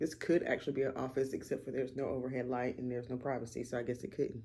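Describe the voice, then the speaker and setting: A woman speaks with a Southern US accent. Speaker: vlogger. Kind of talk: casual vlog talk to camera. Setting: at home, front room.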